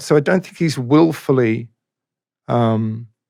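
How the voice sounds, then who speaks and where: Very clean recording, silent background, featuring a man with an Australian accent. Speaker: singer-songwriter. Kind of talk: interview answer.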